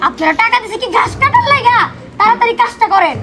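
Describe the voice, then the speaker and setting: In a cartoonish character voice of extremely high pitch, the speaker goes at a fairly quick pace against loud background noise. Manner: impatient, hurried.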